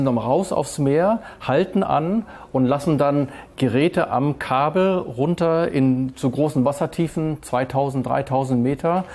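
The loudness stays very even. Pitch varies in an ordinary way. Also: man. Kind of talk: interview answer. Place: boat.

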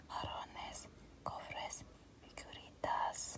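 Whispering very slowly, a woman is heard. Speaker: ASMR storyteller. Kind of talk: ASMR story reading. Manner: soft whispered.

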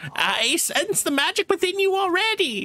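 In a put-on character voice, a woman speaks at a moderate pace with an extremely high pitch. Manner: mystical, sage-like.

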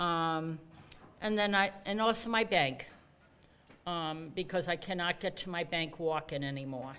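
On a very clean recording with a silent background, a woman with a Rhode Island accent and fairly low pitch speaks at a fairly slow pace. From Rhode Island, Cranston. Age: 70s. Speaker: bus rider speaking at public hearing. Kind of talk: public hearing testimony.

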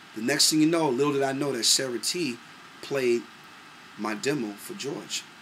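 At a fairly quick pace, the speaker sounds animated, with ordinary pitch variation over light background noise. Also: man. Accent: New York. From New York, Brooklyn; New York. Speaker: singer and producer. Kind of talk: casual monologue to camera. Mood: relaxed, proud reminiscing. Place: home room. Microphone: webcam.

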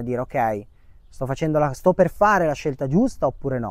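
The speech moves at a fairly quick pace with ordinary pitch variation, a dry sound with no echo, and a quiet background. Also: man. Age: 30s. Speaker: short-term rental manager; interview guest. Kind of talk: testimony. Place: garden. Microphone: lapel.

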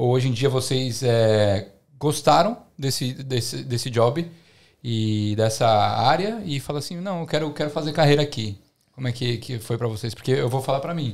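The speaker has an ordinary speaking voice, with ordinary pitch variation at a moderate pace. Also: man, medium pitch for a man. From Brazil. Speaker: podcast host. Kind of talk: casual chat. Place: home room. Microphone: studio mic.

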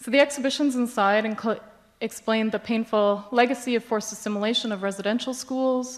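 A woman with a Canadian accent and a plain, everyday voice speaks at a fairly quick pace and fairly high pitch, her intonation fairly even, on a very clean recording with a silent background. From Canada, Yukon. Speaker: independent curator. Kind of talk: conference presentation. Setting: stage with audience.

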